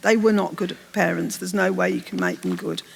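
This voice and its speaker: A woman's voice over noticeable background noise. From English Midlands, Birmingham. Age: 60s. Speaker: novelist. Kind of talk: onstage literary interview. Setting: stage with audience.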